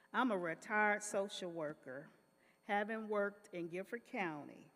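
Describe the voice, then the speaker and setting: A normal speaking voice from a woman with an American accent, medium in pitch, moderate in pace, with ordinary pitch variation. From North Carolina, Greensboro. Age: 60s. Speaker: retired social worker. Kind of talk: testimony.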